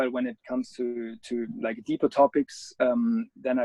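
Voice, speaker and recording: A man with a German accent is recorded with a dry, close sound and no echo. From Germany. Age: 30s. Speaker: adventure photographer. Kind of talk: interview. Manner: halting.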